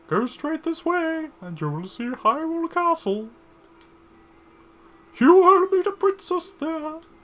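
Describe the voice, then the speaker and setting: In a put-on character voice, the speaker goes at a fairly slow pace with an extremely high pitch and long, frequent pauses. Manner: silly, theatrical.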